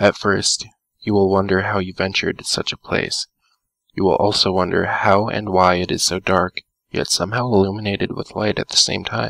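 Recorded dry and close with no echo, a man talks at a moderate pace in an unremarkable speaking voice, fairly low in pitch with fairly even intonation. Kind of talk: creepypasta horror narration, second-person scripted story read aloud.

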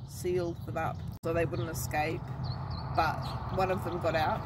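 A woman speaks with a dry sound and no echo. Loud background noise runs behind her. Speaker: travel vlogger. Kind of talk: casual vlog chat, telling a legend. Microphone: phone near.

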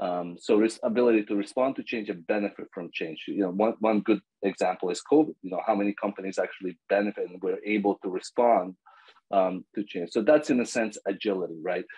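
A man with a Serbo-Croatian accent speaks at a fairly quick pace in a fairly low pitch with ordinary pitch variation against a quiet background. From Bosnia. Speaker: agile coach. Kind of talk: casual interview. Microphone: video call.

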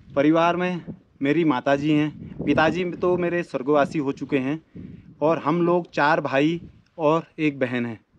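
A man speaks at a fairly slow pace with a fairly high pitch. His intonation stays fairly even over light background noise. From Uttarakhand, Almora district (Kumaon hills); Uttarakhand, India. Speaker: YouTuber. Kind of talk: self-introduction to camera. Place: open country. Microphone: phone near.

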